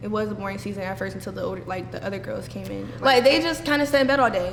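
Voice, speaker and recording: There is audible room echo and noticeable background noise. A woman speaks at a fairly quick pace. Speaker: reality show contestant. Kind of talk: casual interview. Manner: loud.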